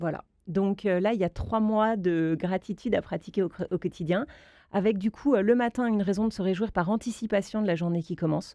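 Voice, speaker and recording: Against a quiet background, a woman talks at a fairly quick pace with a dark, mellow tone. Her pitch is medium with ordinary variation, in a dry, close sound with no echo. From Alsace, France. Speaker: author and mother. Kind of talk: radio interview.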